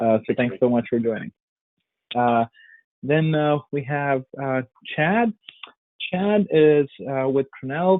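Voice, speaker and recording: A man speaks at a very slow pace and a fairly high pitch. His intonation is lively, with long, frequent pauses. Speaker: webinar moderator, sales executive. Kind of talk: panel introduction on webinar. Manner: halting, many fillers.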